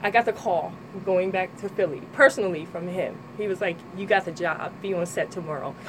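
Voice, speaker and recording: Noticeable background noise under a medium-pitched female voice. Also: ordinary pitch variation, fairly quick pace. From Trenton, New Jersey. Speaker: model and personal trainer. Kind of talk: radio interview. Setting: radio studio.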